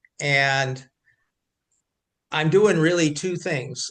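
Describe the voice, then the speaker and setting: A man's fairly high voice unfolds at a very slow pace. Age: 60s. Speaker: amateur vibraphonist, retired medical worker. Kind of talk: casual group discussion.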